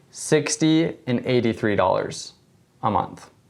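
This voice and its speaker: A man's normal speaking voice, medium in pitch, with ordinary pitch variation and a moderate pace. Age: 20s. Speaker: insurance agent. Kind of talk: casual interview.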